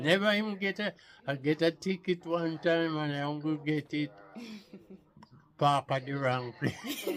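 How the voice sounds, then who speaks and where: Amid noticeable background noise, a man with a Jamaican accent speaks at a fairly slow pace and fairly high pitch, with ordinary pitch variation and long, frequent pauses. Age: 80s+. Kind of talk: interview answer.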